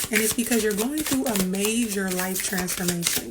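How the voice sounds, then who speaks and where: A woman's fairly high voice amid audible room echo and noticeable background noise. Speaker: tarot reader. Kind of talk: tarot reading. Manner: projecting, louder than before; casual, filler-heavy.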